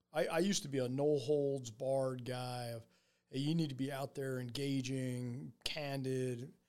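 A man with a normal speaking voice and medium pitch talks at a moderate pace with fairly even intonation. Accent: American. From central New Jersey (Edison), near New York City. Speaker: army general. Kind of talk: interview conversation.

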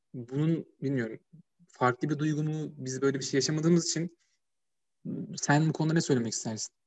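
Fairly quick and somewhat breathy, a man's fairly high voice keeps a fairly even intonation broken by long, frequent pauses. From Turkey, Ankara (Çubuk). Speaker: podcast host, university student. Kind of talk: casual chat.

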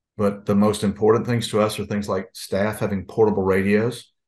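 A man talks at a fairly low pitch with monotone, flat intonation. The background is quiet. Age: 60s. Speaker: former school district police chief, safety consultant. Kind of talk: webinar discussion.

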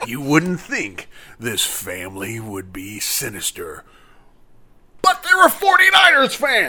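A man uses a put-on character voice at a very slow pace. His speech has long, frequent pauses. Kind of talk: TV documentary narration. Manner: ominous, dramatic.

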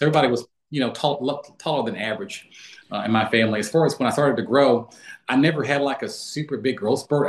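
This man has an American accent. He talks very fast with fairly even intonation. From US South, Florida panhandle (Pensacola). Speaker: former college basketball player and financial advisor. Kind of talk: casual interview.

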